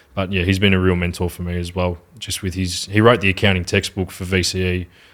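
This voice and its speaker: In an Australian accent, a man with a very deep, low pitch speaks in a monotone, flat intonation on a very clean recording with a silent background. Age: 20s. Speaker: social media marketing agency owner. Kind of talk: podcast interview answer. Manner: articulate.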